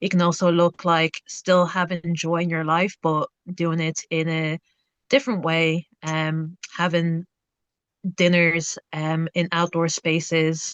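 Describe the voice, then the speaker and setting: A woman speaks at a very slow pace. Her intonation is flat and monotone, and the sound is dry and close with no echo. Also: fairly low pitch for a woman. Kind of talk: panel discussion.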